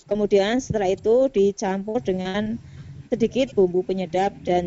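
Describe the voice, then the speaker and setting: Speaking with a Central Javanese accent, a woman uses a medium pitch and ordinary pitch variation. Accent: Brebes accent (Central Java), noticeable. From Brebes, Central Java, Indonesia. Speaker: teacher presenting in a teachers' video conference. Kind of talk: cooking demonstration presentation. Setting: video call.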